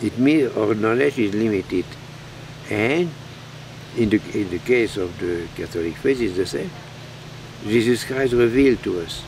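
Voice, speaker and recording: Pausing long and often, a man talks in a medium pitch with lively intonation over light background noise. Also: moderate pace. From Belgium. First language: French. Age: 80s+. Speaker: priest; monk priest. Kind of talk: sermon. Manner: halting. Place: garden.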